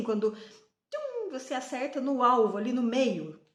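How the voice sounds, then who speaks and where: Audible room echo around a woman's fairly high voice, at a moderate pace. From Brazil. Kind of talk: devotional talk to camera. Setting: on a train.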